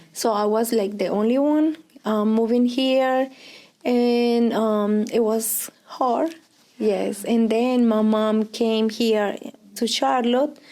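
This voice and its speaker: A woman's very slow, fairly high-pitched voice in a Colombian accent, with very even loudness and fairly even intonation. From Colombia, Pereira. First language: Spanish. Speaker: Spanish teacher. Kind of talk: oral history interview. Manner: hesitant, many fillers.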